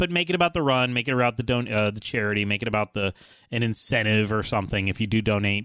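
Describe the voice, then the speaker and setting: Against a quiet background, a man talks at a very fast pace in an energetic tone. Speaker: video game show host. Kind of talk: live Twitch show, radio DJ patter with a fast, upbeat chatty delivery. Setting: live Twitch stream from home studio. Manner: energetic, chatty, fast-paced.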